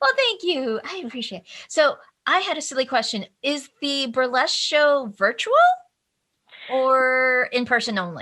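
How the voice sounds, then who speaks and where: In a raised, projected voice with a bright, sharp tone, a woman speaks high and fairly slowly with lively intonation on a very clean recording against a silent background. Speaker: podcast host. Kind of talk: casual chat. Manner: speech impediment; animated.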